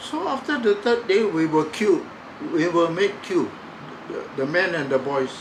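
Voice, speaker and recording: Over noticeable background noise and audible room echo, a man speaks fairly slowly at a high pitch with very wide pitch swings. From Singapore. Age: 90s. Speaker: war survivor. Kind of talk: testimony. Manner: halting.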